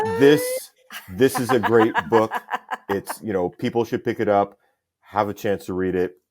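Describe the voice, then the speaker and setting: At a fairly slow pace, a man with a fairly low voice talks with ordinary pitch variation. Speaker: deputy chief. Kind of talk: interview answer.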